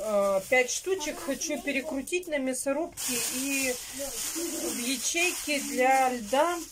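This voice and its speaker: A woman speaks at a high pitch with ordinary pitch variation. Noticeable background noise runs beneath her. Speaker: home vlogger. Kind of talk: casual vlog chat. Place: kitchen. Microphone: phone near.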